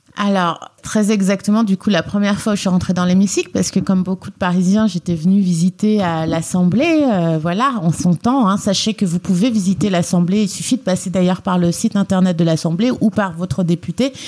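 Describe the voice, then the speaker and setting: A woman speaks at a fairly quick pace in a medium pitch, with ordinary pitch variation and very even loudness. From France, Lyon (family roots in Guinea). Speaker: member of parliament. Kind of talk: interview. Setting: office at the parliament.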